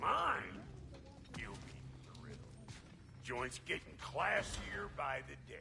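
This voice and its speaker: A man puts on a gruff character voice and speaks at a fairly slow pace with long, frequent pauses. Clear background noise sits behind him. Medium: video game. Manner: gruff, crude, sarcastic.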